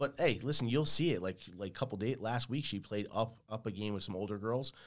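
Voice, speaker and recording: A man with a New Jersey accent at a medium pitch and fairly quick pace, with ordinary pitch variation, hardly any pauses and a very clean recording with a silent background. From New Jersey, Woodbridge area. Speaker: musician. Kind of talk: casual chat. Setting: studio.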